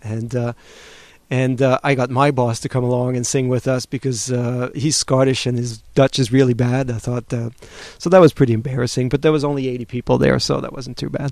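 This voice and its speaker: The man's pitch is medium, and his intonation is monotone and flat. He talks at a fairly quick pace. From France and Switzerland. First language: French. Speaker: webcomic artist. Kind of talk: interview. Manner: halting.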